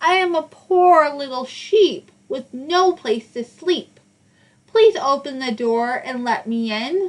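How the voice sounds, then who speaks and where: A woman speaks in a put-on character voice, high-pitched and at a fairly slow pace. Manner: deceptively sweet.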